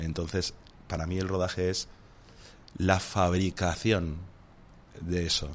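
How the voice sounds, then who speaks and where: A man speaks at a very slow pace in a very deep, low voice, with long, frequent pauses. His intonation stays monotone and flat. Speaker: film director. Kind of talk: casual chat. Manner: soft-spoken.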